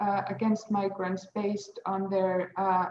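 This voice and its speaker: A somewhat breathy woman's voice. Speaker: legal academic. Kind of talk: panel presentation. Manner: hesitant, many fillers.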